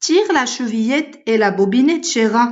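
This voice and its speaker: A woman puts on a character voice, pitched high. She speaks at a moderate pace. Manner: softened, coaxing.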